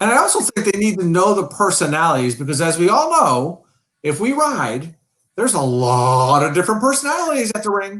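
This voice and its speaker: Loud and with a bright, sharp tone, the speaker talks at a fairly quick pace in an American accent, the pitch swinging very widely. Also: man, high pitch for a man. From New York. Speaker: riding coach. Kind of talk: casual chat. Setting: live stream. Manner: boisterous.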